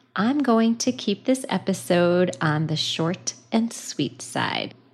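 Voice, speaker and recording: A woman speaks at medium pitch with very wide pitch swings. Her voice is somewhat breathy. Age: 50s. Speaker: podcast host and counselor. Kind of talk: personal storytelling monologue. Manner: lighthearted, casual.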